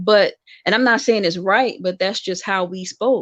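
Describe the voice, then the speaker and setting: The recording is dry and close with no echo and a quiet background, capturing a woman with an American accent at medium pitch in an ordinary speaking voice. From US, Washington DC. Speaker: guest co-host, host's sister. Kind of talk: casual podcast discussion.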